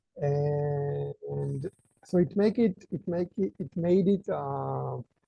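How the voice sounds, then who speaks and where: The speaker is a man with an Israeli accent. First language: Hebrew. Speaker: author. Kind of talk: interview. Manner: halting.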